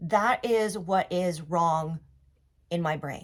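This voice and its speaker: A woman's very slow speech with lively intonation. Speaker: vlogger with a neurological disorder. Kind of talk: casual explainer vlog. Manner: halting, with word drops; casual, conversational.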